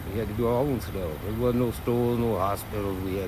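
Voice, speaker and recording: Through noticeable background noise and audible room echo, a man speaks with ordinary pitch variation. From US South, Myrtle Beach, South Carolina. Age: 60s. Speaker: street interviewee. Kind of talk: street interview.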